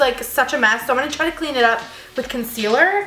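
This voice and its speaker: A woman projects a raised, high-pitched voice with lively intonation. The room echo is audible, and background noise is noticeable. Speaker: beauty vlogger. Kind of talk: casual makeup vlog.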